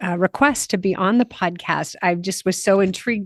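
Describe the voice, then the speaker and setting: A woman with an American accent has a normal speaking voice at a medium pitch, speaking at a fairly quick pace with ordinary pitch variation, the sound dry and close with no echo against a quiet background. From USA. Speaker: podcast host and Camino guide. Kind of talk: podcast interview.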